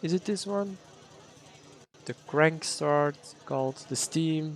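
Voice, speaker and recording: In a Dutch accent, a man speaks at a fairly slow pace with ordinary pitch variation. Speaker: game streamer. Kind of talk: live gameplay stream chat. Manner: casual, halting.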